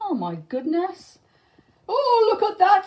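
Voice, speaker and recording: At an extremely high pitch, a woman speaks at a fairly slow pace in a put-on character voice. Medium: read story.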